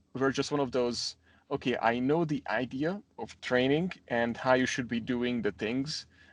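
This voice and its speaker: Speaking with a Hungarian accent at a fairly slow pace, a man shows ordinary pitch variation against a quiet background. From Hungary, Budapest. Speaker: gym owner. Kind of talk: interview.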